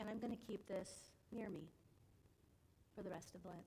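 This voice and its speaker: Soft-spoken and somewhat breathy, a woman's voice has a dark, mellow tone, with audible room echo around it. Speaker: adult education class leader. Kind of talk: church class talk with slides. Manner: informal, with hesitations.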